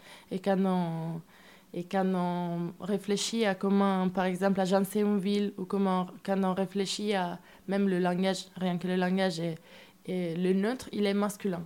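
A woman with an Italian accent, medium pitch and a dark, mellow tone, at a fairly slow pace in a monotone, flat intonation. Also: very clean recording, silent background. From Italy. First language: Italian (speaking French). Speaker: musician, storyteller in a band. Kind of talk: radio interview. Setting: radio studio.

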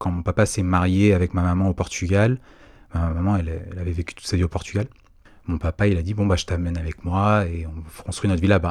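With a very deep, low pitch and monotone, flat intonation, a man speaks at a fairly quick pace. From Paris region, Saint-Maur-des-Fossés. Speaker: podcast guest sharing life story. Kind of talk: casual interview, personal testimony. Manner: hesitant, many fillers and repetitions.

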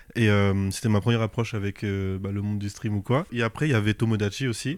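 This man has an unremarkable speaking voice at a medium pitch. He talks at a fairly quick pace on a very clean recording with a silent background. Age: 20s. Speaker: manga author and flight attendant. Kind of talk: casual interview. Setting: manga bookshop.

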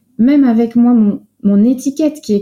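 The voice has a dark, mellow tone and is somewhat breathy. It carries a Belgian accent. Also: woman. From France. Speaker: psychologist and coach. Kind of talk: interview.

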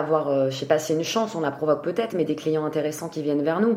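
Over noticeable background noise, a woman with a very deep, low pitch speaks with ordinary pitch variation. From France, Gironde (Arcachon basin). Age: 30s. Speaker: food event agency co-founder. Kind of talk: casual interview.

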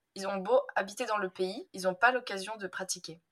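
An animated woman at a medium pitch, at a moderate pace with ordinary pitch variation. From France, Drôme (Valence). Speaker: language teacher. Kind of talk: casual chat.

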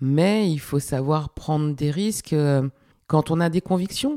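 A woman's very deep, low voice, dark and mellow, shows ordinary pitch variation in a dry, close recording with no echo. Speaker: music producer and podcast host. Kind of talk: casual interview about own career.

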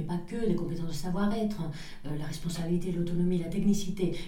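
With audible room echo, a woman speaks in a Spanish accent at a fairly low pitch, keeping her intonation fairly even. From northern Spain (Pamplona). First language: Spanish (speaking French). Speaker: entrepreneur. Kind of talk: interview. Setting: office.

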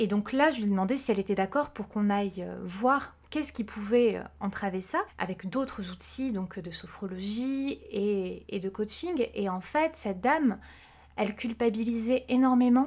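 A woman's fairly high-pitched, somewhat breathy voice moves at a fairly slow pace, its pitch varying in an ordinary way. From Corsica. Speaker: vocal coach. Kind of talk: interview.

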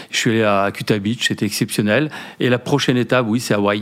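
A man talks at a fairly quick pace in an unremarkable speaking voice, with medium pitch and fairly even intonation. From Brittany, France. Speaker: company founder. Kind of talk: interview. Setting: hotel lounge.

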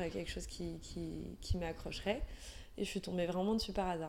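This voice belongs to a woman. It carries a dark, mellow tone. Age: 30s. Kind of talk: interview. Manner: halting.

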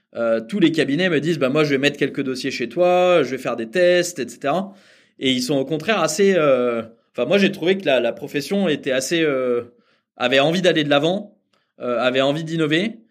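A man speaks in a normal speaking voice at a fairly high pitch and a moderate pace. His pitch varies in an ordinary way over a quiet background. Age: 30s. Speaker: startup founder. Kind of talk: interview.

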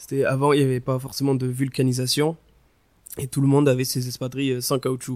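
A man talks at a fairly quick pace in a medium pitch, his intonation monotone and flat. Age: 20s. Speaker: shoe designer. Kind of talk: interview.

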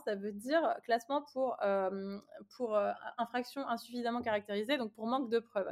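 A woman talks at a moderate pace with a fairly high pitch and ordinary pitch variation. She has a plain, everyday voice. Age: 30s. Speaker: lawyer and feminist activist. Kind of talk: interview conversation.

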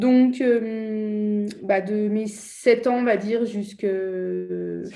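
This woman has a dark, mellow tone and a medium pitch. Her pitch variation is ordinary. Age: 30s. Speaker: life coach. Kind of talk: interview.

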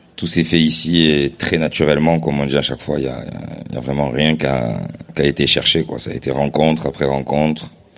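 A man speaks at a fairly quick pace in a very deep, low voice. His intonation is monotone and flat, with noticeable background noise. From Marseille, France. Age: 30s. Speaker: DJ collective co-founder. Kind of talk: live podcast interview. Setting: stage with live audience.

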